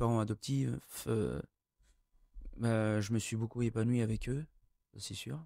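A man's medium-pitched, very slow speech with fairly even intonation, a dry sound with no echo, and a quiet background. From France (Burgundy), born in Tahiti. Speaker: adoptee sharing his story. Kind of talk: TV interview. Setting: TV studio. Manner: halting, many hesitations. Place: studio. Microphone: studio mic.

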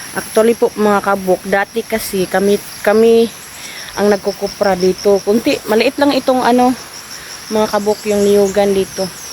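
Noticeable background noise sits behind a woman speaking with a Visayan accent at a medium pitch and moderate pace. Her loudness stays very even and her intonation fairly even. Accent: Visayan accent in Tagalog. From Visayas, Philippines. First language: Bisaya (speaking Tagalog). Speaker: vlogger. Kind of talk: casual vlog narration. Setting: outdoors. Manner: halting, repetitive.

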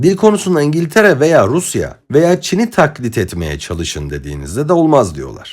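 With an Arabic accent, a man speaks at a moderate pace while his pitch swings very widely. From Egypt. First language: Arabic (speaking Turkish). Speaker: political commentator. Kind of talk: lecture. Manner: formal.

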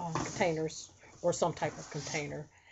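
Noticeable background noise sits behind a woman's voice. Her intonation is monotone and flat. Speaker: haul vlogger. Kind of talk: casual vlog chat. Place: home room. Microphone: webcam.

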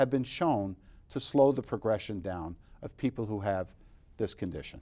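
A man with an American accent has a dark, mellow tone. His intonation is lively. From New York, Long Island; New York. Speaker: optometrist; guest. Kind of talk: interview. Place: studio. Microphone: lapel.

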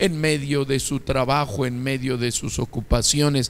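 The pace is fairly slow. It is a man talking. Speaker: pastor. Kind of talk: sermon. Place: church. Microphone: handheld.

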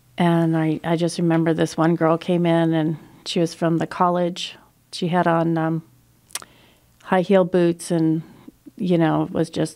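Against a quiet background, a woman with a fairly low pitch speaks at a fairly slow pace in a monotone, flat intonation. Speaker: radio guest. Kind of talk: interview answer, storytelling. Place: studio. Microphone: studio mic.

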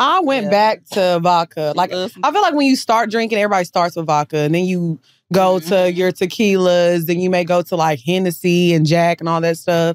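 Music plays behind a woman with a Southern US accent, fairly low in pitch, at a fairly quick pace. Her pitch variation is ordinary, and the sound is dry with no echo. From Texas. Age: 30s. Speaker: podcaster. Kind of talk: casual chat. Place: studio. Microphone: studio mic.

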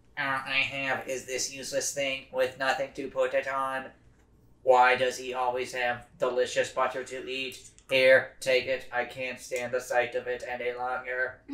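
Speaking in a put-on character voice, a man holds a medium pitch. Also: moderate pace. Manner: whiny and envious, then gushing.

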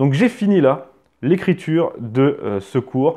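Pitched fairly high, a man's voice has a dark, mellow tone and very wide pitch swings against a quiet background. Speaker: history educator and YouTuber; history educator, YouTuber. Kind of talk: book review monologue. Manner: hesitant with filler words. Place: home room. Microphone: lapel.

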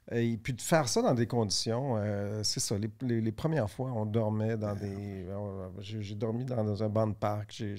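Delivered at a very slow pace with hardly any pauses, the voice has a dark, mellow tone and fairly even intonation over a quiet background. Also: man, fairly low pitch for a man. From Quebec (Laval); Quebec. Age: older than the hosts. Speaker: business executive; podcast guest. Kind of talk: interview conversation. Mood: relaxed, reflective storytelling. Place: studio. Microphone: studio mic.

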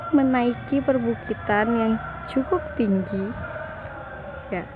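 Very slowly, a woman speaks in a dry recording with no echo and noticeable background noise. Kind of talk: casual vlog commentary. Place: street. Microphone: phone near.

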